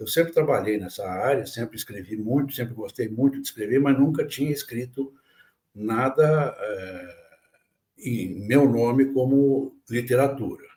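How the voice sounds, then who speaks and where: A man with a medium-pitched, somewhat breathy voice and a dark, mellow tone talks at a fairly slow pace, with ordinary pitch variation and big swings in loudness. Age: 70s. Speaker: writer and editor. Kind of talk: interview conversation. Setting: podcast.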